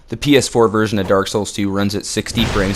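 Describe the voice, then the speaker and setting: Fairly quick talking from a man, with noticeable noise in the background. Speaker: gaming guide creator. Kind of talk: game tutorial voiceover. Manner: casual.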